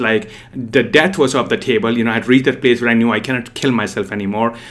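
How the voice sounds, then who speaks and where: A man with a medium pitch races along at a very fast pace as noticeable noise sounds behind him. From India. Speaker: dating coach. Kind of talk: solo podcast monologue.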